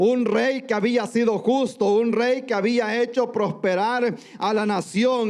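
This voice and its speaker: Over noticeable background noise, a man talks at an extremely high pitch with fairly even intonation. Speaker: pastor. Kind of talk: sermon. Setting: church.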